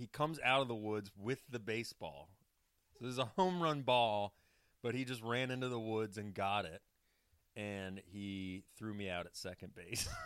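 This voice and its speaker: This man has a plain, everyday voice, pitched fairly low, with ordinary pitch variation at a moderate pace on a very clean recording with a silent background. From US South, Atlanta, Georgia. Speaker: sports podcast co-host. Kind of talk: casual chat.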